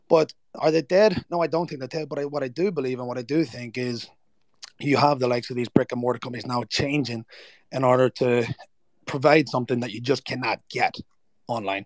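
Fairly quick speech in an Irish accent, with ordinary pitch variation and a dry, close sound with no echo. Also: man, medium pitch for a man. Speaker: event speaker. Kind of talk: informal, calls listeners "lads". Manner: casual, conversational, uses filler like "you know".

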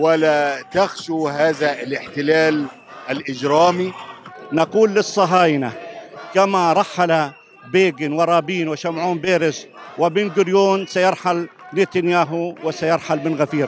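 In a dry sound with no echo and light background noise, a man speaks very slowly with fairly even intonation. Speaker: interviewee. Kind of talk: interview answer, rally speech style. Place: street. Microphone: handheld.

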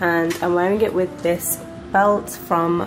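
Fairly even intonation and fairly low pitch from a female speaker, noticeable background noise behind her. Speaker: fashion vlogger. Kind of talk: casual vlog chat. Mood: cheerful, relaxed. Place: home room.

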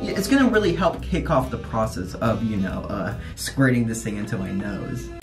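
With clear background music, a man's speech unfolds at a moderate rate. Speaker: vlogger. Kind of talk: casual talk to camera. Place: bathroom. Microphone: phone near.

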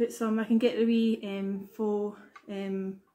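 A somewhat breathy woman with a Glaswegian accent, a fairly high pitch and a dark, mellow tone. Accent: Glaswegian Scottish. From Scotland, Glasgow. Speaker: YouTuber. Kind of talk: product haul vlog. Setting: at home. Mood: cheerful, relaxed. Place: home room. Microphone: webcam.

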